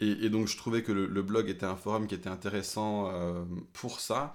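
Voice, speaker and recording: At a moderate pace, a man talks with a fairly low pitch. He keeps a monotone, flat intonation. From Paris, France. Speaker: pastor and podcast co-host. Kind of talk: casual chat.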